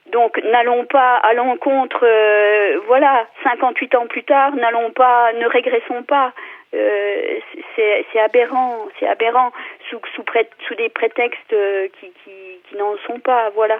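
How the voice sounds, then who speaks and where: A woman with a high pitch speaks very slowly in a passionate tone, with ordinary pitch variation. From France, Vosges. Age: 50s. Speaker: local elected official. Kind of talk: radio debate. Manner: passionate, hesitant with many fillers.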